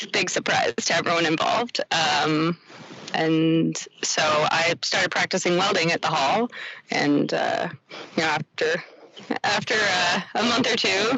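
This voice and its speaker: Speaking in a Canadian accent, a woman has a fairly low pitch and a fairly slow pace. Her loudness stays very even over noticeable background noise. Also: ordinary pitch variation. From Quebec, Canada. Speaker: ironworker. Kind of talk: casual interview. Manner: hesitant, many fillers.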